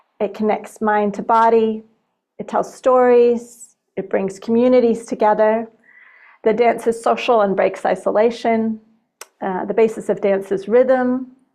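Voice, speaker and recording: With an American accent, a woman speaks fairly slowly in a dark, mellow tone at a fairly high pitch, her intonation monotone and flat. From Montana, US. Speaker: dance practitioner and researcher. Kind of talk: presentation talk. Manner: hesitant, many fillers.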